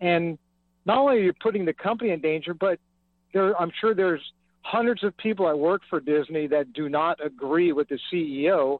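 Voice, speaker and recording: An ordinary speaking voice from a man with an American accent, fairly high in pitch, moving at a fairly quick pace with ordinary pitch variation. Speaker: caller. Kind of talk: call-in talk radio. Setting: phone call.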